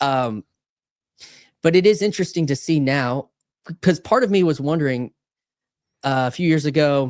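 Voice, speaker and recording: At a moderate pace, a man with a fairly high voice and ordinary pitch variation pauses long and often, in a dry, close sound with no echo on a very clean recording with a silent background. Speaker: podcast host. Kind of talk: casual conversation. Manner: halting, many fillers.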